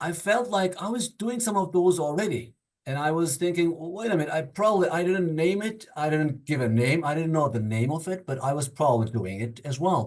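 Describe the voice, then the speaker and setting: This man talks at a fairly quick pace with a non-native accent. His intonation is lively, and he hardly pauses. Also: fairly high pitch for a man. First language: not English. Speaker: workshop participant. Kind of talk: group discussion. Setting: video call. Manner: halting.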